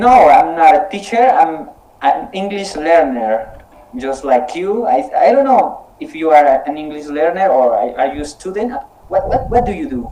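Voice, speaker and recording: A man with a high pitch talks at a moderate pace, with very wide pitch swings and big swings in loudness. Noticeable background noise and audible room echo are present. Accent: Spanish. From Colombia. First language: Spanish. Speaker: English conversation club leader. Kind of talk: casual online conversation practice. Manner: halting, repeats words.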